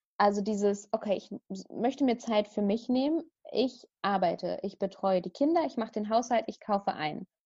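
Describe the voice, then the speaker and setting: Against a quiet background, a woman speaks at a fairly high pitch in a somewhat breathy voice with a dark, mellow tone. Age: 30s. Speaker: meditation teacher and coach for young mothers. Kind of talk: casual interview.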